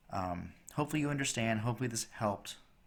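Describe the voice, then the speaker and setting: A man with a plain, everyday voice, fairly low pitch, ordinary pitch variation and a fairly quick pace. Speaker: math teacher. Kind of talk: tutorial.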